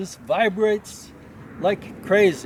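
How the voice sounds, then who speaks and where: Noticeable background noise runs beneath a man talking with an American accent. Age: old. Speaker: almond farmer. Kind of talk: casual farm tour talk.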